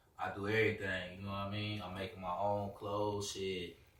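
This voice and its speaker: Flat, monotone intonation is heard with audible room echo. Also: man. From US Midwest, West Side of Chicago. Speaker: rapper. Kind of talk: casual interview.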